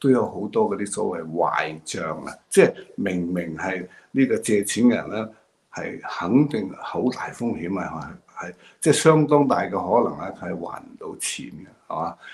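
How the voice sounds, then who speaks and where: A man with a Hong Kong accent talks at a fairly slow pace and a fairly low pitch, with lively intonation and big swings in loudness. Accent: Hong Kong Cantonese. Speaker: political commentator. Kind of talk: monologue commentary. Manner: halting, many fillers. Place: home room. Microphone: video call.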